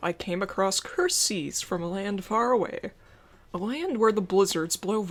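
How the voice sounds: Here a natural reading voice moves through ordinary pitch variation.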